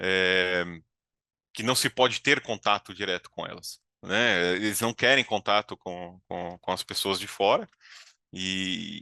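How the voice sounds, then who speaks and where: A man speaks very slowly in a very deep, low voice with fairly even intonation. The sound is dry and close with no echo, over a quiet background. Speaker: certification consultant. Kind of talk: webinar presentation. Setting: video call.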